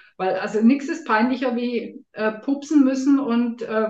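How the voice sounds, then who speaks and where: A woman talks fairly slowly in a high voice, her intonation fairly even. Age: 50s. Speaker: health coach and nutrition expert. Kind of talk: interview.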